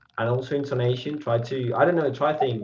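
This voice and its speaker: A man with a non-native accent speaks at a moderate pace, his medium-pitched voice following a fairly even intonation. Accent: learner accent leaning British. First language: Spanish. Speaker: language learner, channel host. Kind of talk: casual interview.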